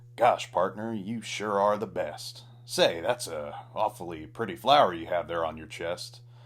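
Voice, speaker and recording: Using a put-on character voice, a man drawls at a moderate pace and medium pitch over light background noise. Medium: read story. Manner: slow, drawling.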